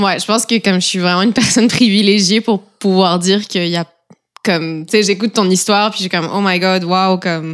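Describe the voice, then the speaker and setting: With an ordinary speaking voice, a woman talks at a fairly quick pace, medium pitch and fairly even intonation. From eastern France near Switzerland. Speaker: roommate. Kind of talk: casual chat.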